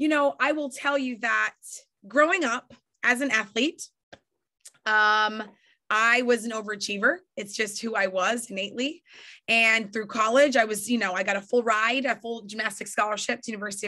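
A woman with an American accent talks in an animated, bright, sharp tone at a moderate pace. Her fairly high pitch has ordinary variation, and the background is quiet. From New York. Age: 40s. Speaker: network marketing leader and trainer. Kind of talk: motivational training talk. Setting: video call. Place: home room.

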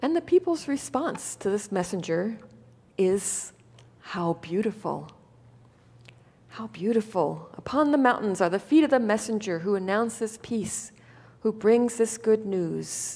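A woman speaks at a fairly slow pace. Her speech has long, frequent pauses. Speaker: pastor. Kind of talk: sermon. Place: church. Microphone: headset.

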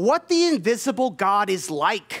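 Speech moves at a moderate pace over a quiet background. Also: man. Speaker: preacher. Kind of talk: sermon. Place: church. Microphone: headset.

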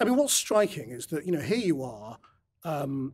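A man with a fairly high pitch talks, and the background is quiet. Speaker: interviewer. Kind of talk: interview. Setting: studio. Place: studio. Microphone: studio mic.

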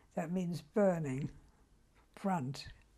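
Spoken at a very slow pace, the voice is somewhat breathy and dark and mellow in tone, with ordinary pitch variation. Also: woman. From Germany. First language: German. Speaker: Holocaust survivor. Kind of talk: interview answer.

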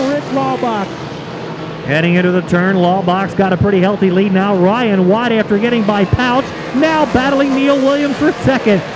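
Against noticeable background noise, the speech moves at a moderate pace. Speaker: race announcer. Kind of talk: live race commentary.

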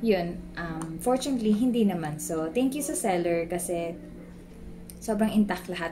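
A woman speaks at a moderate pace with ordinary pitch variation. Noticeable background noise runs underneath. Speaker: tech tutorial vlogger. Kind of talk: tutorial. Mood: cheerful, relieved. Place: home room. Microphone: studio mic.

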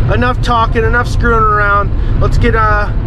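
Noticeable background noise, with a dry sound and no echo. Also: man. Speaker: fishing channel host. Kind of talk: casual vlog chat. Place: car. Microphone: phone near.

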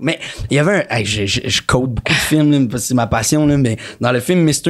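This man has a fairly high pitch. He speaks at a fairly slow pace against a quiet background. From Quebec, Montreal. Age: 30s. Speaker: actor. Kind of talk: casual chat. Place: studio. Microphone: studio mic.

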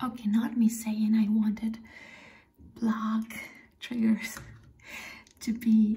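With a dark, mellow tone and a somewhat breathy, fairly high voice, a woman speaks at a fairly slow pace in monotone, flat intonation with long, frequent pauses. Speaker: ASMR creator. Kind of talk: casual talk to camera, soft explanation. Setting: close mic, personal attention. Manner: whispered, soft. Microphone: phone near.

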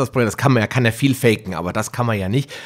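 On a very clean recording with a silent background, a man speaks in a plain, everyday voice with ordinary pitch variation. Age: 40s. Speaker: podcast host. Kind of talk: interview.

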